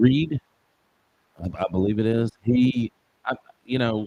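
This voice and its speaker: At a fairly slow pace, a man speaks at a medium pitch in a Southern US accent. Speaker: football show co-host. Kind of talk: casual sports chat. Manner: halting, repeats words.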